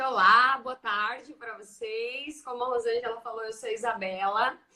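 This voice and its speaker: Speaking at a moderate pace with a rural Brazilian accent, a woman with a fairly high pitch has a bright, sharp tone and ordinary pitch variation. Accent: Brazilian interior. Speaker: teacher and education researcher. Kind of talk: casual chat. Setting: video call.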